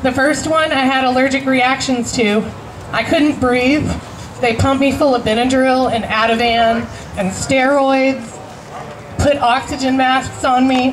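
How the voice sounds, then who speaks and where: Fairly slow and monotone, a woman speaks at a high pitch with very even loudness, amid audible room echo and noticeable background noise. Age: 30s. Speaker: cancer patient activist. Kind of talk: rally speech.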